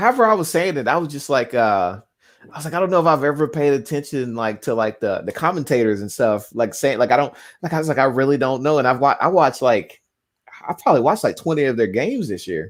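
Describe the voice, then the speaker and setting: The recording is very clean, with a silent background. A man with a Southern US accent speaks very fast at a fairly high pitch with lively intonation. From US South. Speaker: sports fan co-commentator. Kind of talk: casual chat. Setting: live stream watchalong.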